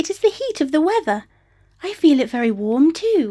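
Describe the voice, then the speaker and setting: Squeaky and high-pitched, a woman puts on a character voice. Her pitch swings very widely at a moderate pace. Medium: read story. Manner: impatient, dismissive.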